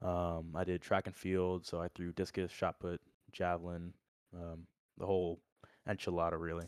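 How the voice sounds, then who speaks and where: A man speaks in a very deep, low voice with an American accent, his intonation flat and monotone. The recording is very clean and dry, close up with no echo against a silent background. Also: moderate pace. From Orlando, Florida. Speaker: college football walk-on player. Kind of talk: casual chat.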